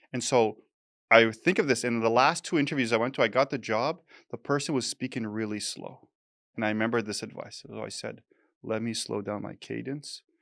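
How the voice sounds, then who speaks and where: Over a quiet background, a man with a Canadian accent and vocal fry speaks at a fairly quick pace, with medium pitch and ordinary pitch variation. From Canada. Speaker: soft skills instructor. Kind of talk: casual interview conversation. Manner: fast.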